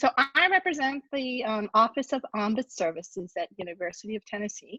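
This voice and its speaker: In a dry, close recording with no echo, a woman with a fairly high pitch speaks with an American accent. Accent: sounds American. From Japan. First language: Japanese. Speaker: university ombudsperson. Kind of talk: presentation.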